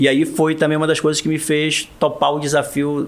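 Over noticeable background noise, a man with a fairly high pitch speaks at a moderate pace. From Marajó, Pará, Brazil. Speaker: state public security secretary, federal police delegate. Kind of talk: interview.

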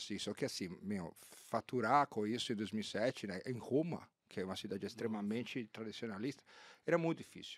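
A man with a plain, everyday voice, fairly low pitch and moderate pace. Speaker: ad-tech sales executive. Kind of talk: casual interview chat.

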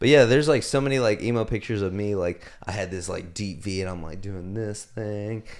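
In a very clean recording with a silent background, a man talks at a fairly quick pace in a fairly low voice with ordinary pitch variation, an unremarkable speaking voice. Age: 20s. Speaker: podcast co-host. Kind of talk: casual chat.

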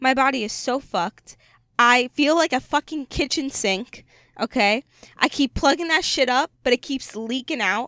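Close and dry with no echo, a woman's high-pitched voice comes through raised and projected. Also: ordinary pitch variation, moderate pace. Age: 20s. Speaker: podcast co-host. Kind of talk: casual chat. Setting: in a parked car.

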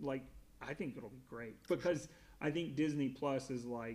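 Using a plain, everyday voice with an American accent, the speaker keeps a moderate pace and ordinary pitch variation. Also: man. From US South. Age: 30s. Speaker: podcast guest, Pixar fan. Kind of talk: casual chat.

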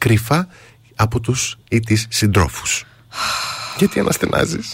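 A somewhat breathy man at medium pitch and a moderate pace. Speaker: radio host. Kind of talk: casual chat.

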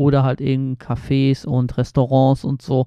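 A man speaks at a fairly slow pace with a medium pitch, a dark, mellow tone, and monotone, flat intonation. The sound is dry and close with no echo, over a quiet background. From Poland, Baltic coast. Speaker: travel podcaster. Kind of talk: casual monologue. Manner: casual with many fillers.

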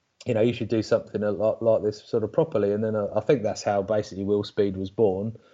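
A man with an English accent races along at a very fast pace with hardly any pauses, his dark, mellow tone fairly low in pitch and his intonation fairly even. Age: 40s. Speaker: RC car racing driver. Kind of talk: casual chat. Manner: halting.

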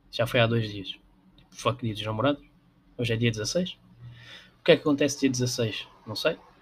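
A man with a European Portuguese accent, somewhat breathy, medium in pitch with ordinary pitch variation, at a moderate pace in a very clean recording with a silent background. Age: 20s. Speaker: podcaster. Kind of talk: casual solo monologue. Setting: home room with window open. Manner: hesitant, many fillers.

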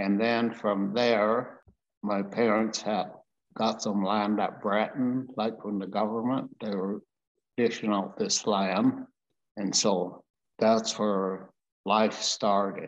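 Over a quiet background, someone with a western Canadian accent talks at a very slow pace in a monotone, flat intonation. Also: man, fairly low pitch for a man. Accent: rural western Canadian. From rural Alberta, Canada. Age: 80s+. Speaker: farmer. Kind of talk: life story interview. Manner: casual, plainspoken.

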